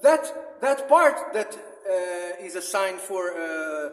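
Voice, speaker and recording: Very wide pitch swings in a man's speech, with audible room echo. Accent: non-native. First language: not English. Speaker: religious apologetics vlogger. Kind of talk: religious monologue. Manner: halting, many fillers.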